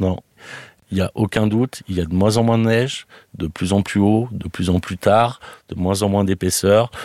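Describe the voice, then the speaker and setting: At a moderate pace, a man speaks in a fairly low pitch with fairly even intonation and long, frequent pauses, the sound dry and close with no echo. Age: 40s. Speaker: restaurant owner. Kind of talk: interview testimony. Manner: hesitant, many fillers.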